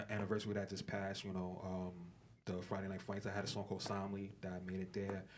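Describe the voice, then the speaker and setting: Room echo can be heard around a man's fairly low voice. His intonation is flat and monotone. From Brooklyn, New York. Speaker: rapper. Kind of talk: interview. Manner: casual, filler-heavy.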